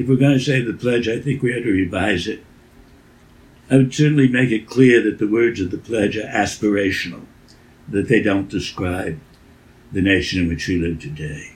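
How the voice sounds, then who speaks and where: Somewhat breathy and fairly low in pitch, a man speaks at a moderate pace with ordinary pitch variation and long, frequent pauses. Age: 80s+. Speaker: education writer and former teacher. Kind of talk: interview. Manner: halting.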